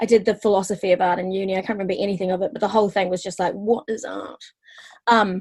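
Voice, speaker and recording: A woman with a New Zealand accent at a very fast pace. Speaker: stand-up comedian. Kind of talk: casual interview chat. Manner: hesitant, many fillers.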